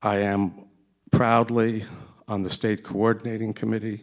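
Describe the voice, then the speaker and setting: The speaker has an American accent. The delivery is fairly slow. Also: man. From US, New York area. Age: 60s. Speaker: retired professor, audience member. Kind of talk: audience question. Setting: seminar with audience.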